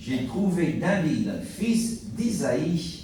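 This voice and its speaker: Pitch swings very widely as a man with an American accent speaks over noticeable background noise and audible room echo. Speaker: pastor. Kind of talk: sermon. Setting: church.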